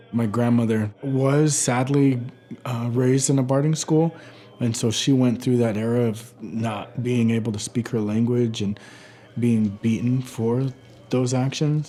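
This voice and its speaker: Through noticeable background noise, a man with an American accent speaks fairly slowly at a medium pitch, his intonation fairly even. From Warm Springs Indian Reservation, Oregon. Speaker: artist and storyteller. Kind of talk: documentary interview answer. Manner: calm, reflective.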